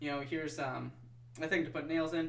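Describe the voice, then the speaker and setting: The voice keeps a fairly even intonation. Noticeable background noise is present. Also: man. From US Midwest, Wisconsin. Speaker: podcast co-host. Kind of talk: casual chat.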